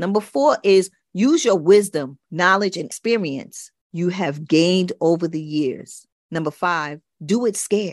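A woman's normal speaking voice, fairly low in pitch and fairly slow, with ordinary pitch variation, dry, close sound with no echo and a quiet background. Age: 60s. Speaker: podcast host. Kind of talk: solo podcast monologue.

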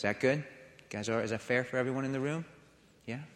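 With an American accent, a man speaks in a bright, sharp tone. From Florida, US. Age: 40s. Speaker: guest preacher, ministry founder. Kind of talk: sermon. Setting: church service with audience. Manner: halting, frequent fillers.

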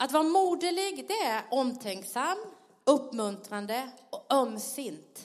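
With a Blekinge accent, a woman with a high pitch speaks at a very slow pace with very wide pitch swings amid audible room echo. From Sweden, Blekinge (Karlskrona). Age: 50s. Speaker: pastor. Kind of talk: sermon. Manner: animated, laughing.

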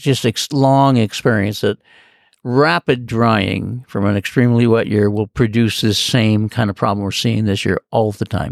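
On a very clean recording with a silent background and a dry, close sound with no echo, a man speaks at a medium pitch and a very slow pace, with ordinary pitch variation. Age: 80s. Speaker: land speed racer. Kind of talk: casual interview chat. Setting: outdoors at salt flats. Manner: halting, story-telling with fillers.

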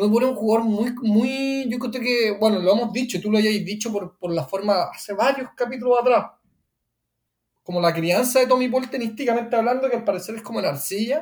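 The speaker has a Chilean accent and a fairly quick pace. Pitch variation is ordinary. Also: man, extremely high pitch for a man. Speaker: tennis podcast co-host. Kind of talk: casual chat.

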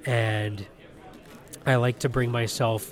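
A man with an unremarkable speaking voice talks at a fairly slow pace, his pitch medium. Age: 30s. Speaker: toy collector. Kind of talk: interview.

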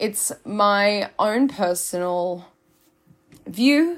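A woman speaks with an Australian accent. The recording is very clean, with a silent background. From Australia, Byron Bay, New South Wales. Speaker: influencer, podcast host. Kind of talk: casual monologue. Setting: sitting in her laundry room. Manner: unscripted, rambling with fillers.

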